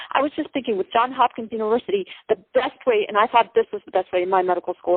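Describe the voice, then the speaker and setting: A woman's fairly high-pitched voice shows ordinary pitch variation. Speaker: caller, public health student. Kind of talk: call-in question at live town hall. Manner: fast.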